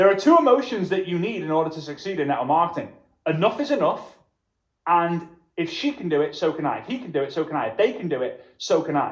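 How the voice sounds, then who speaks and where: A high-pitched man with a Liverpool accent, very fast, with very wide pitch swings. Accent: Liverpool (Scouse) English. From Liverpool, England. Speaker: network marketing trainer. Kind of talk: motivational workshop presentation. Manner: emphatic, repetitive.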